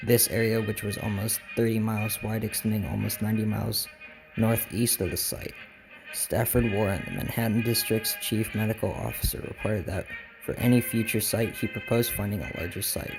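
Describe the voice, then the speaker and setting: A man speaks at a fairly quick clip while music plays in the background. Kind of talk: documentary-style historical narration.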